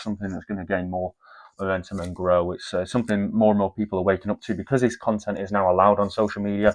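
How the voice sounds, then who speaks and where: Someone with an English accent speaks at a very fast pace with fairly even intonation and big swings in loudness, in a dry, close sound with no echo over a quiet background. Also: man. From northern England, near Scottish border. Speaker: commentary channel host. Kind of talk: video reaction commentary. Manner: halting, frequent fillers.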